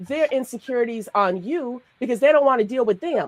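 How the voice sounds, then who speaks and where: A woman with a New York accent and fairly high pitch speaks with lively intonation in a dry, close sound with no echo. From Brooklyn, New York. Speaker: podcast co-host and life coach. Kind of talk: casual discussion.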